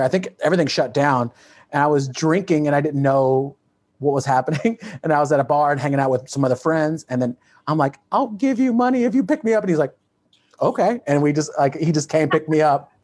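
A man with an American accent and a normal speaking voice talks fairly quickly at a fairly high pitch. His pitch variation is ordinary, and his loudness stays very even. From Texas. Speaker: comedian and podcast host. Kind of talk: casual interview chat. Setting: video call.

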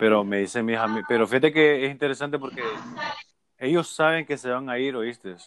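With an unremarkable speaking voice, a man talks at a fairly quick pace at medium pitch with ordinary pitch variation. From Honduras, north coast (Puerto Cortés area). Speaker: podcast host. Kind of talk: casual chat.

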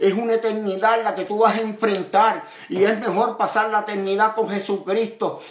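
A man's high-pitched voice at a moderate pace, fairly even in intonation, with audible room echo and noticeable background noise. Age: 50s. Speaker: evangelist preacher. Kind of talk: sermon.

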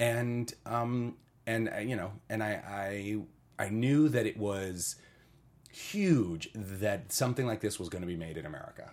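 A man's fairly low voice, fairly slow in pace, with ordinary pitch variation. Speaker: actor. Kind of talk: casual interview chat.

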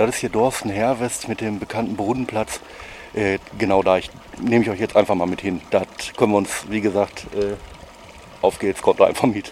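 At a fairly low pitch, a man talks at a moderate pace with long, frequent pauses. Noticeable background noise is present. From Ruhr area, Oberhausen. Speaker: food vlogger. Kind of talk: casual chat. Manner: animated.

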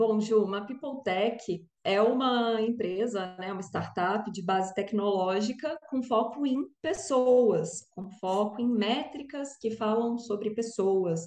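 A woman speaks at a very slow pace with hardly any pauses. Her pitch is fairly high. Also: ordinary pitch variation. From Brazil, Brasília. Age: 30s. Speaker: startup founder and engineer. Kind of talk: interview. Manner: hesitant fillers.

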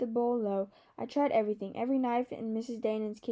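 The reading voice sounds natural, with intonation that stays fairly even.

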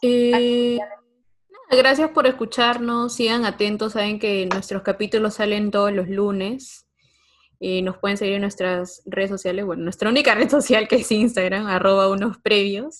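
In an ordinary speaking voice, a woman talks at a moderate pace with ordinary pitch variation against a quiet background. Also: fairly high pitch for a woman. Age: young. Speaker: podcast host, guest. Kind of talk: casual chat.

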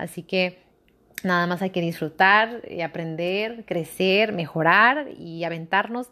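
A woman's fairly low voice with a bright, sharp tone, fairly slow pace and ordinary pitch variation, on a very clean recording with a silent background. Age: 20s. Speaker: podcaster. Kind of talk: casual monologue.

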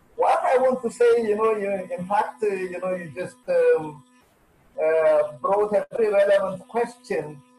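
With music in the background, a man talks at a fairly slow pace. His pitch is high, with ordinary variation. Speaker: plant breeding scientist. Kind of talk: webinar interview.

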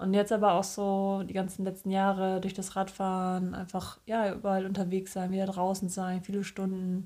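A woman's dark, mellow, medium-pitched voice, moderate in pace and monotone, flat in intonation. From northern Germany. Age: 30s. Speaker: podcast co-host. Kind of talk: casual chat.

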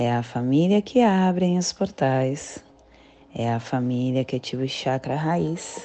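Very deep and low in pitch, a woman speaks at a very slow pace with lively intonation. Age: 40s. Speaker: spiritual guide. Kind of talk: daily spiritual talk.

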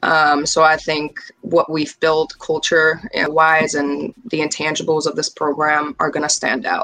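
Over noticeable background noise, a woman speaks at a fairly slow pace in a very deep, low voice, monotone and flat, with hardly any pauses. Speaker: assistant college basketball coach. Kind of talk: casual interview.

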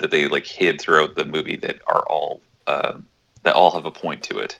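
A man at a moderate pace. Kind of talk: casual chat. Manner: soft-spoken.

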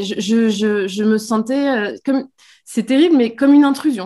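A woman's fairly high voice at a fairly slow pace, with lively intonation, on a very clean recording with a silent background. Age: 30s. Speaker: pregnant mother, social media creator. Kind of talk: interview. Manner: hesitant, many fillers.

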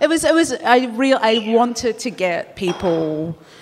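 A woman with an Australian accent speaks with very wide pitch swings. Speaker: columnist. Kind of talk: live panel discussion. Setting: stage with live audience.

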